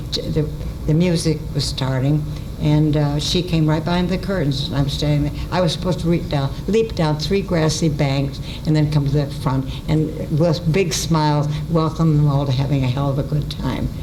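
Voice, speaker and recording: A woman with an American accent speaks in a very deep, low pitch with fairly even intonation, with audible room echo and noticeable background noise. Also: moderate pace. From US Midwest. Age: 90s. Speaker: radio writer and performer. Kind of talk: storytelling talk. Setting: stage with audience. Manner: halting.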